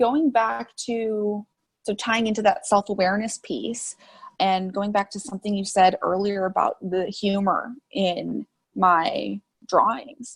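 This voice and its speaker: With an American accent, a woman speaks at a medium pitch and a fairly slow pace. Her pitch varies in an ordinary way. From US Midwest, Chicago suburbs. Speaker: artist and social media creator. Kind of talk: interview conversation. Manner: loud.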